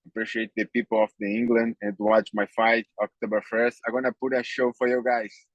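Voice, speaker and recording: Monotone and flat, a man with a Brazilian accent speaks at a fairly quick pace with hardly any pauses, the sound dry and close with no echo. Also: medium pitch for a man. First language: Portuguese. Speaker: MMA fighter. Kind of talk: interview. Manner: halting.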